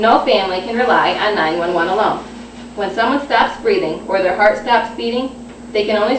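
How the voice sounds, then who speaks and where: Noticeable background noise sits behind a woman's voice. She speaks at a moderate pace and medium pitch with ordinary pitch variation. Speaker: nursing student. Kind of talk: informative class speech. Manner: slight stuttering.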